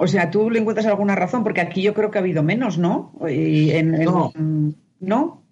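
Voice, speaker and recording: Somewhat breathy, a woman speaks in a Spanish accent at medium pitch, with ordinary pitch variation and very even loudness. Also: moderate pace. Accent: Peninsular Spanish. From Spain. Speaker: journalist. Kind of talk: interview.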